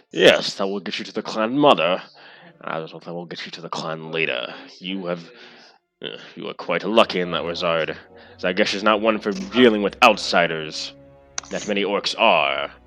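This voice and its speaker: Delivered at a moderate pace, this is a put-on character voice. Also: man, very deep, low pitch for a man. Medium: actual play. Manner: grave, dismissive.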